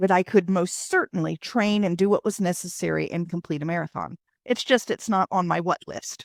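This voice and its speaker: A woman with an American accent and a normal speaking voice talks at a medium pitch with fairly even intonation. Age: 60s. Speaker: author. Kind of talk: interview.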